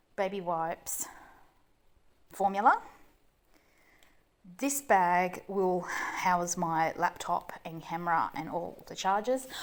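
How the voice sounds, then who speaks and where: With long, frequent pauses, a woman in an Australian accent speaks at a very slow pace with a medium pitch and ordinary pitch variation. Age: 40s. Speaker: mum vlogger. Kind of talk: casual vlog. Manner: hesitant with many ums.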